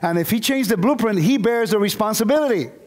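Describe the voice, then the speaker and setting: A man's high voice with ordinary pitch variation, in audible room echo. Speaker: bible teacher. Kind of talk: lecture. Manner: fast.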